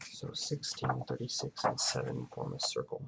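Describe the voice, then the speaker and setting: A soft-spoken man talks at a fairly slow pace. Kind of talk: casual talk to camera, thinking aloud while solving a puzzle.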